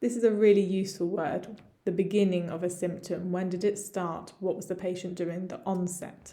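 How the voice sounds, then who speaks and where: In an English accent, a woman speaks with a dark, mellow tone at a fairly slow pace. Her intonation is monotone and flat, and the room echo is audible. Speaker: medical English teacher. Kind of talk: tutorial. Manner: slow, deliberate with repetition.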